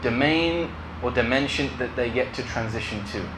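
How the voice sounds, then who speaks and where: With noticeable background noise behind him, a man talks at a fairly quick pace using ordinary pitch variation. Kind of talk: lecture interpretation. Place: home room.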